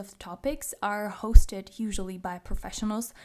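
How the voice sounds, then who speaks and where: With a Czech accent, a woman speaks at a moderate pace and a fairly high pitch in a very clean recording with a silent background. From Czech Republic. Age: 20s. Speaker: podcast host. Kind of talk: personal monologue.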